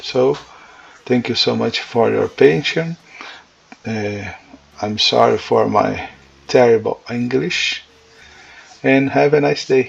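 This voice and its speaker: A man speaks very slowly in a Portuguese accent, with long, frequent pauses. Noticeable background noise is present. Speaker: religious teacher. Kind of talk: lecture. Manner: halting.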